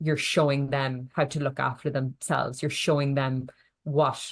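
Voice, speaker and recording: A woman with an Irish accent, very deep and low in pitch, monotone and flat, at a fairly slow pace over a quiet background. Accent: Irish, can't pronounce th sounds. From Ireland. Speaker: nutritionist. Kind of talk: podcast interview.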